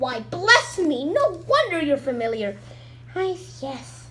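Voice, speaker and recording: A put-on character voice speaks high and fairly slowly. Clear background noise runs underneath. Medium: read story. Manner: friendly, gently chuckling.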